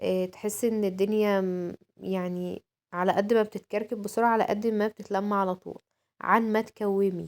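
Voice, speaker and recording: In a flat, monotone delivery, the woman holds a medium pitch. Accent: Egyptian. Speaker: home vlogger. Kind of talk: home routine vlog. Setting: at home. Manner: casual, many fillers.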